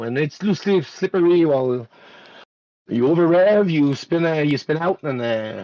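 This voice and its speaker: At a moderate pace, a man talks with lively intonation. The sound is dry and close, with no echo. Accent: French Canadian. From Quebec. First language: French. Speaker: sim racing driver, race winner. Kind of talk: post-race interview. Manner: halting, many fillers.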